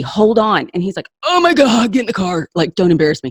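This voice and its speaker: A woman in an animated tone at a fairly quick pace, with very wide pitch swings and a quiet background. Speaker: spiritual coach. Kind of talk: interview conversation.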